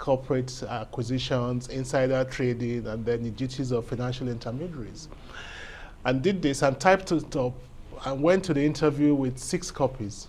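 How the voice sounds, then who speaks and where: The speaker has a Nigerian accent. The pace is moderate. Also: man, medium pitch for a man, ordinary pitch variation. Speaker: lawyer and legal academic. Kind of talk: interview. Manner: measured, articulate.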